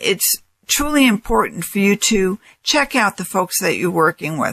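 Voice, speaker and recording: With an American accent, a woman speaks in a bright, sharp tone at medium pitch. The recording is very clean and dry, close with no echo and a silent background. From New York. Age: 60s. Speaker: financial advisor and radio host. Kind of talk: radio talk show monologue.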